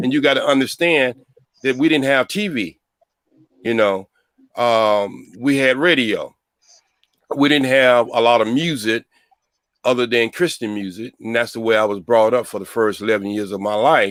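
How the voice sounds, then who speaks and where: Long, frequent pauses break up speech that has ordinary pitch variation. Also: man, medium pitch for a man, moderate pace. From US South, North Carolina. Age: 60s. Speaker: panelist. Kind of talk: casual panel discussion.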